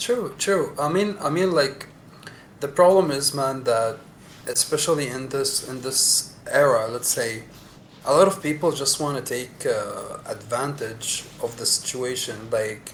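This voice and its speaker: A man's fairly high voice with lively intonation at a fairly slow pace, over noticeable background noise. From UAE, Sharjah and Dubai. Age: 20s. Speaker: podcast guest. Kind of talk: casual chat.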